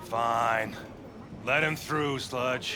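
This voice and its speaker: A man puts on a character voice at a medium pitch. Loud background noise runs behind him. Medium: video game. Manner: curt, suspicious.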